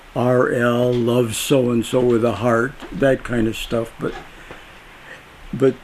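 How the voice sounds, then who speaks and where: Noticeable noise sits in the background. A man talks very slowly. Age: 80s+. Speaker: local historian. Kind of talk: interview. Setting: at his house. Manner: halting.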